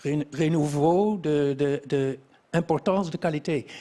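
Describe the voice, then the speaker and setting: Over noticeable background noise, a man with a non-native accent speaks at a very slow pace, his fairly high voice held to fairly even intonation. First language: not French (speaking French). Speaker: quality engineering expert. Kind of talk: interview. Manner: halting, many hesitations.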